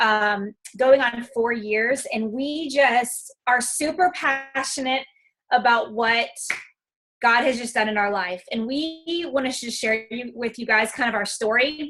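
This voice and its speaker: A loud, high-pitched woman's voice with ordinary pitch variation, at a fairly slow pace. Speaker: fitness coach. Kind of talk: testimony.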